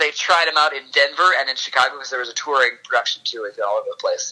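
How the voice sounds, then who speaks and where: A man with an American accent talks at a very fast pace with hardly any pauses. His loudness swings widely over noticeable background noise. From Wisconsin. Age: 30s. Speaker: podcast co-host. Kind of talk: casual chat.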